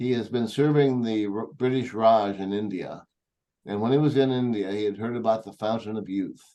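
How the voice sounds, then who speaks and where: With an American accent and a dark, mellow tone, a man at medium pitch speaks at a moderate pace using fairly even intonation. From US Pacific Northwest (Longview, Washington). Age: 70s. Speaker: energy healing teacher. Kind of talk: presentation to small group. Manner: hesitant, many fillers.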